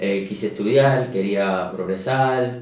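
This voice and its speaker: With audible room echo, a man speaks in a fairly low voice and fairly even intonation. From Cuba. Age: 30s. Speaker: emigrant, hydraulic engineer. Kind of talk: interview. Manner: hesitant, many fillers.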